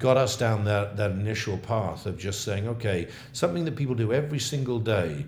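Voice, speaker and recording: A somewhat breathy, fairly low-pitched man's voice in an English accent, at a moderate pace with ordinary pitch variation and audible room echo. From England. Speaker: coffee company founder. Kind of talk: interview. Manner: halting.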